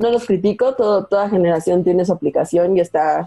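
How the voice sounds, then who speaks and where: A woman's medium-pitched voice, dark and mellow in tone, at a moderate pace with ordinary pitch variation. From Veracruz, Mexico. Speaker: UX researcher, sociologist. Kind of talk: casual interview. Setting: video call.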